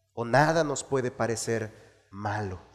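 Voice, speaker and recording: A man speaks in an animated, warm tone. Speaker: pastor. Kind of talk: sermon. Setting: church. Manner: earnest, didactic preaching, repeating key phrases for emphasis; exhorting the congregation, animated and warm.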